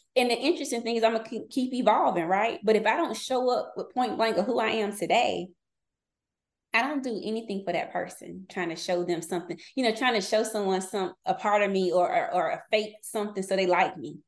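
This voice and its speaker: This woman has an American accent and a fairly high pitch. Her intonation is lively, in a normal speaking voice. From North Carolina. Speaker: business consultant. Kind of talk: casual chat.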